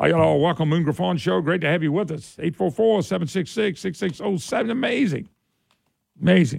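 With a Southern Louisiana accent, a high-pitched man talks in an animated tone with lively intonation at a fairly slow pace. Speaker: talk radio host. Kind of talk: talk radio call-in show. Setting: studio.

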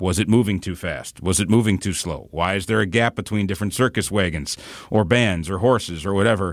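At a fairly quick pace, an unremarkable speaking voice with an American accent shows ordinary pitch variation. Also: man, fairly low pitch for a man. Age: 40s. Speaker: media company employee sharing family memories. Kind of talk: casual interview.

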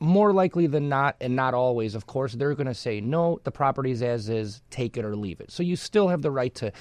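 Over a quiet background, a man uses an ordinary speaking voice at medium pitch and a fairly quick pace. His intonation is lively, and the sound is dry and close with no echo. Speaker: real estate attorney. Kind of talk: casual explanatory chat.

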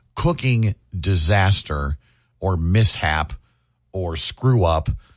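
In a somewhat breathy voice, a man talks with lively intonation. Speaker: radio host. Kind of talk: casual chat. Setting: studio.

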